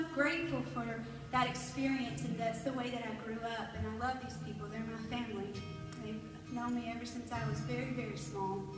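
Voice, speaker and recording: A woman at a fairly quick pace, with audible room echo and clear music in the background. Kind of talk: stage talk, personal story. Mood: warm, heartfelt. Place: church.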